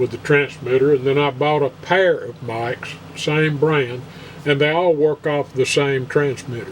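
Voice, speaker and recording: Fairly high-pitched man at a fairly slow pace, fairly even intonation, noticeable background noise behind him. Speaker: guitar player. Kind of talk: casual talk to camera.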